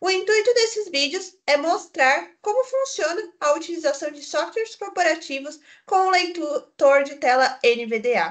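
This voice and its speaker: A woman speaks at an extremely high pitch and a fairly slow pace, with hardly any pauses. Her pitch swings very widely, and her loudness rises and falls sharply. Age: 20s. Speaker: YouTuber, accessibility tutorial maker. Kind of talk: tutorial. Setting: office, recorded via video call software.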